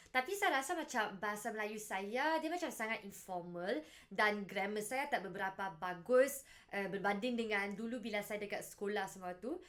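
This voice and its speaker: Lively intonation at a fairly quick pace, in a northern Malaysian accent. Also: woman, fairly high pitch for a woman. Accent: northern Malaysian accent in Malay. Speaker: language learning vlogger. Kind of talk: casual vlog monologue. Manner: casual, relaxed.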